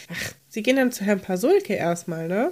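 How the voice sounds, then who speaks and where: Medium pitch from a woman, its variation ordinary. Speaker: podcast co-host. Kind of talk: casual chat. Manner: exaggerated energetic.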